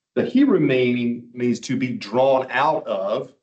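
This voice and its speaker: A man talks in a medium pitch. His pace is very slow. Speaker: Bible teacher. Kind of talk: lecture.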